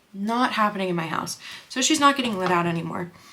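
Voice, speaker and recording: With lively intonation and an animated tone, a woman speaks over noticeable background noise. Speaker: makeup artist and beauty vlogger. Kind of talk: casual chat while doing makeup. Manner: fast.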